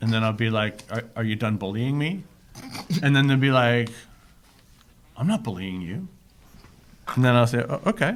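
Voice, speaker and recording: Pausing long and often, a man of medium pitch talks at a moderate pace with lively intonation. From Toronto, Canada. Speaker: comedian and author. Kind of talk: podcast guest telling anecdotes.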